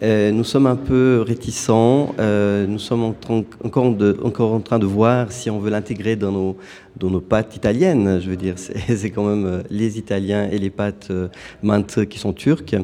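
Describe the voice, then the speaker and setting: This is a normal speaking voice at a fairly slow pace. The intonation stays fairly even. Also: man, fairly low pitch for a man. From Turkey. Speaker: food truck owner. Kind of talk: radio interview.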